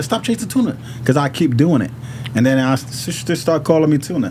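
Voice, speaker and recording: Over noticeable background noise, a man with a fairly high pitch talks at a fairly quick pace with lively intonation. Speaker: rapper. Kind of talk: casual chat. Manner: halting.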